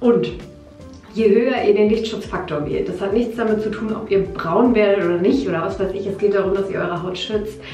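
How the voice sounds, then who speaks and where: With faint music in the background and audible room echo, a woman speaks at a moderate pace with fairly even intonation. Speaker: beauty vlogger. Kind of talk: casual vlog chat, product tutorial. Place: bathroom. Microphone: phone near.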